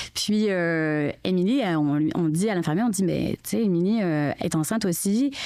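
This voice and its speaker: A woman speaks at a moderate pace in a fairly low pitch. Her loudness stays very even, with hardly any pauses. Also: lively intonation. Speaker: mother of triplets. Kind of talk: casual chat.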